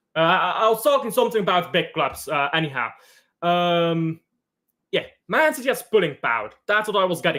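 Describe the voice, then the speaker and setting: Someone with a Flemish accent speaks at a moderate pace on a very clean recording with a silent background. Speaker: football streamer reading chat. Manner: hesitant, many fillers.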